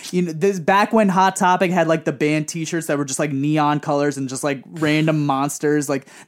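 A man with an American accent and a normal speaking voice, fairly high in pitch, at a moderate pace, on a very clean recording with a silent background. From Queens, New York (Woodside). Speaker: singer. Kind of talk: casual chat.

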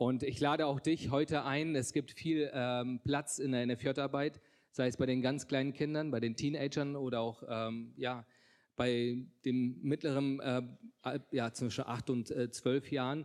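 Fairly slow, monotone speech from a man at medium pitch, with flat intonation, very even loudness, and a very clean recording over a silent background. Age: 30s. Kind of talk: testimony. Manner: halting, many filler sounds.

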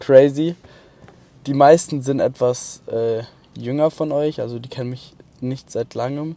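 A man with a fairly high-pitched voice speaks in a fairly even intonation, leaving long, frequent pauses. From Baden-Württemberg, Mannheim area. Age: 20s. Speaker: podcaster. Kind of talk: casual monologue. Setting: in a car at a motorway rest stop. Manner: hesitant, filler-heavy.

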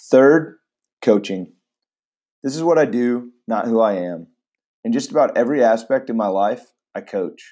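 Over a silent background in a very clean recording, a man with a dark, mellow tone and medium pitch talks at a moderate pace with lively intonation and long, frequent pauses. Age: 20s. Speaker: podcast host and high school teacher. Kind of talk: scripted podcast monologue.

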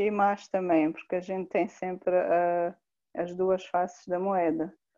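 A woman with a Mozambican accent, medium pitch, fairly even intonation and a very slow pace. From Mozambique (Inhambane). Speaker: humanitarian worker. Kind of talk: interview, personal testimony. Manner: halting, with repetitions.

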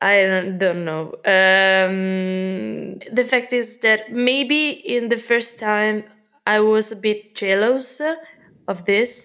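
In an Italian accent, a woman speaks very slowly at a fairly high pitch, her tone bright and sharp and her pitch variation ordinary. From Italy. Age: 20s. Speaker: teacher. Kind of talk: casual chat. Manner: halting.

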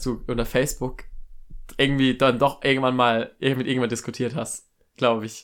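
A man talks at a moderate pace with medium pitch. The recording is very clean, with a silent background. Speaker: podcast co-host, university student. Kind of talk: casual chat. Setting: home recording in a bedroom. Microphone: new second microphone.

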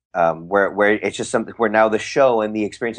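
The speaker has a Californian accent against a quiet background. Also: man. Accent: Californian American. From San Francisco Bay Area. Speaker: magician and actor. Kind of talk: interview. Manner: halting, many repetitions and fillers.

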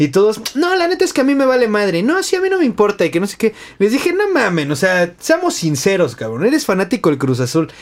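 A high-pitched man at a very fast pace, with very wide pitch swings and noticeable background noise. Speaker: podcast host. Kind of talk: casual chat.

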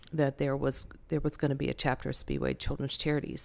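A woman with a Southern US accent. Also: very clean recording, silent background. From North Carolina, Winston-Salem. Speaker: charity director. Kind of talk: interview.

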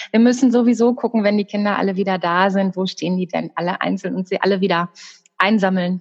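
With fairly even intonation, a medium-pitched woman speaks at a very fast pace in a dry, close sound with no echo. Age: 40s. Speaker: secondary school teacher. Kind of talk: casual interview.

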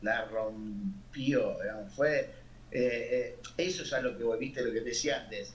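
A man speaks at a very slow pace in a Rioplatense accent, with audible room echo and noticeable background noise. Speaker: singer, keyboardist and songwriter. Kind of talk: casual interview.

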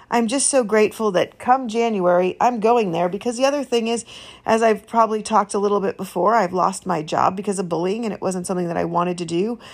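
This is a woman with an ordinary speaking voice, fairly high in pitch, with ordinary pitch variation. She talks at a fairly quick pace on a very clean recording with a silent background. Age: 50s. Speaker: faith podcast host. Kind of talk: personal testimony monologue.

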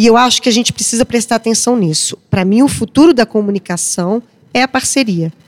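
A woman talks at a fairly quick pace in a plain, everyday voice, with a fairly high pitch and ordinary pitch variation. Her loudness is very even, and the sound is dry and close with no echo. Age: 40s. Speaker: journalist. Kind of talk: panel discussion.

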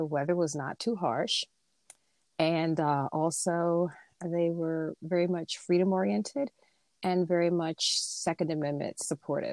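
A woman with an unremarkable speaking voice talks fairly slowly, with ordinary pitch variation, in a very clean, dry, close recording with no echo and a silent background. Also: fairly low pitch for a woman. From United States. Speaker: lawyer. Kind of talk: interview.

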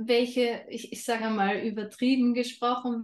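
With a slight Austrian accent, this speaker talks at a very slow pace. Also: woman. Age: 30s. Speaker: holistic health coach. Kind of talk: interview.

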